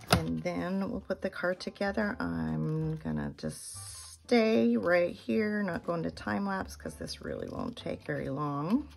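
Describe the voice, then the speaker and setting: The speech moves at a very slow pace with hardly any pauses. Noticeable background noise runs underneath. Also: woman. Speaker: card-making crafter. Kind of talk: tutorial. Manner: casual, conversational.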